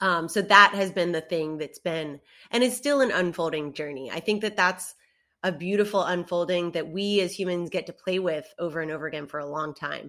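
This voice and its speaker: Bright and sharp in tone, a woman speaks at a fairly low pitch and fairly quick pace. The recording is very clean, with a silent background. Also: ordinary pitch variation. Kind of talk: casual chat, podcast interview. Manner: casual, animated, swears.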